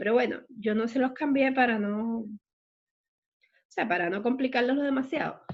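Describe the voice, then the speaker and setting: In a room with audible echo, a woman with a high pitch speaks at a moderate pace, with ordinary pitch variation and long, frequent pauses. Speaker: math teacher. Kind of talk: online math lecture.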